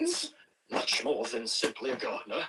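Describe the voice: A put-on character voice with a bright, sharp tone, a husky, rough edge, very wide pitch swings and a moderate pace. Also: man, medium pitch for a man.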